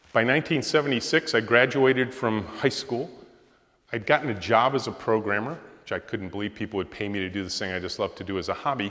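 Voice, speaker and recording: With a Midwestern American accent, a man talks at a very fast pace and medium pitch, his tone bright and sharp and his pitch varying in an ordinary way. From Michigan, Macomb County near Detroit. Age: 60s. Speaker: software company founder and CEO. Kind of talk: guest lecture.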